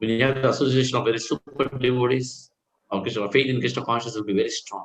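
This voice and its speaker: A very fast, medium-pitched man's voice with vocal fry and fairly even intonation. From India, Karnataka. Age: 60s. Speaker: Hare Krishna preacher. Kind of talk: Q&A after a scripture class.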